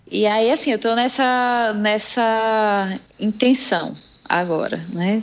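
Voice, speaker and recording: At a very slow pace, a woman speaks with a fairly high pitch, ordinary pitch variation and very even loudness. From Brazil, Salvador, Bahia. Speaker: jiu-jitsu athlete. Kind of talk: casual interview.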